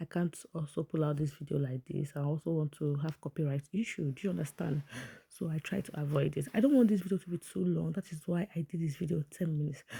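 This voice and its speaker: Delivered at a very fast pace, the speech comes in a Nigerian accent with an animated tone. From Nigeria (Igbo). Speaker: vlogger commenting on celebrity events. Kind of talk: casual vlog commentary. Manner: chatty, animated.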